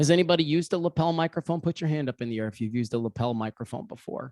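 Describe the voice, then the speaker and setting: A man speaks loud and fairly quick at a fairly high pitch, with very wide pitch swings. The sound is dry and close, with no echo. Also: very clean recording, silent background. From California, San Diego area. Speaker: media trainer. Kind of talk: training workshop.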